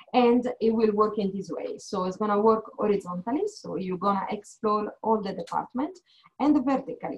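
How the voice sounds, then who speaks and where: A woman with an Italian accent, somewhat breathy, at a fairly high pitch with ordinary pitch variation and a moderate pace, against a quiet background. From Italy. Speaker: HR manager. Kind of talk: informational presentation. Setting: video call. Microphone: video call.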